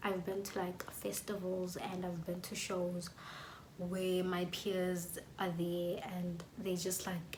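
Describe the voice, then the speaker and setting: Amid noticeable background noise and audible room echo, a woman speaks at a very slow pace in a monotone, flat intonation. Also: medium pitch for a woman. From South Africa, KwaZulu-Natal township. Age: 20s. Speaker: YouTuber, music student. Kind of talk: casual vlog talk to camera.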